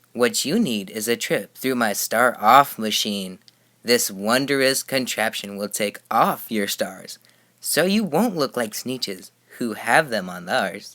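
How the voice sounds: Slowly and in a put-on character voice, a man speaks at a fairly low pitch with lively intonation and a bright, sharp tone.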